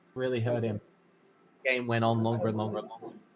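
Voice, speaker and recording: Noticeable background noise runs under this recording. A man with an Australian accent speaks at a medium pitch. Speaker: card game tournament commentator. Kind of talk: live commentary. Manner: fast.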